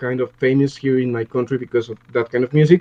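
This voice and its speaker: A man speaks with a Mexican accent. The sound is dry and close, with no echo. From Mexico, Mexico City. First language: Spanish. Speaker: music producer and audio engineer. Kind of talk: interview. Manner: halting, many repeated words.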